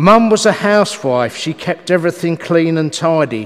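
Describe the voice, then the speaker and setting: A man is speaking. His pitch is high for a man. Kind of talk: eulogy reading. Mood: solemn, reflective. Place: church. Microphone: podium.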